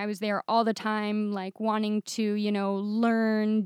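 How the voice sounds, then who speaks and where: Someone with an American accent speaks at a very slow pace. The recording is very clean, with a silent background and a dry, close sound with no echo. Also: woman. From Michigan, US Midwest. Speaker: software developer. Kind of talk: casual interview.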